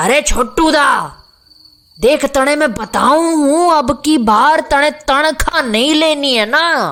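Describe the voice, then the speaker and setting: A woman puts on a character voice, high in pitch, speaking at a fairly slow pace. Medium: audio drama. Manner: talkative, grumbling.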